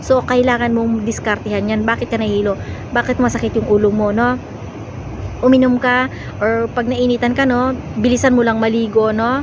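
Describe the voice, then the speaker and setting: Noticeable background noise sits behind a woman with a fairly high pitch. She speaks at a fairly quick pace in a monotone, flat intonation. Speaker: vlogger and overseas domestic worker. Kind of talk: casual vlog talk. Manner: halting with many fillers.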